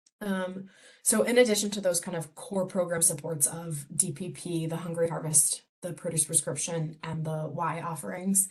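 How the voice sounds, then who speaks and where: A woman speaks with a fairly low pitch and fairly even intonation. Her voice is somewhat breathy. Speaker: community health program director. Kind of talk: presentation. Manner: fast.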